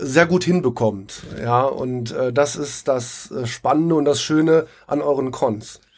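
Pitch moves in an ordinary way. Delivery is very slow. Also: man. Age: 40s. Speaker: live role-play player. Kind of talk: casual interview. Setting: recorded on site at a live role-play event. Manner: hesitant, many fillers.

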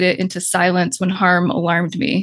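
A woman talks at a moderate pace in a medium pitch with monotone, flat intonation. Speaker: therapist and author. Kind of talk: reading aloud.

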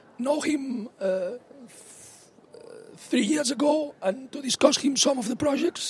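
A man with an extremely high pitch amid noticeable background noise. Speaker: conference speaker. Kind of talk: conference talk. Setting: conference.

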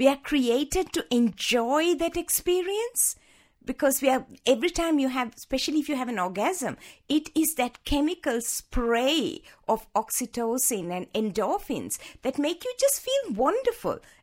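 A woman speaks at a high pitch and a moderate pace, her voice swinging very widely in pitch. The recording is very clean with a silent background. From Sri Lanka. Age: 60s. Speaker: sexologist and medical doctor. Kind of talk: interview.

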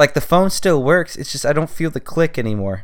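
Lively in intonation, a man talks at a fairly quick pace. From California. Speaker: podcast host. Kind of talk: solo monologue, casual journal-style. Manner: rambling, filler-heavy.

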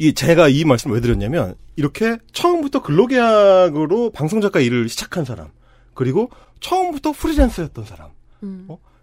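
Talking at a fairly quick pace, a man with a high pitch makes very wide pitch swings and big swings in loudness. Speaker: podcast host, broadcast writer and union activist. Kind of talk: casual chat.

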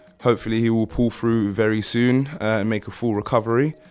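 A man's medium-pitched voice with a British accent, music in the background. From UK, Ghanaian family. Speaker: radio host. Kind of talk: casual chat.

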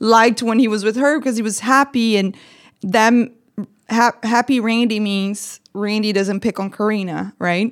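A woman with a Brazilian accent talks at a fairly slow pace with fairly even intonation. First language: Portuguese. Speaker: guest, ex-wife of host's ex-boyfriend. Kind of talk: casual chat. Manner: blunt, profane.

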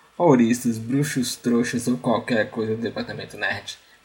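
A man's fairly slow delivery, with normal rise and fall in pitch, comes through noticeable background noise. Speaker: podcast host. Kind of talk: solo nostalgic monologue.

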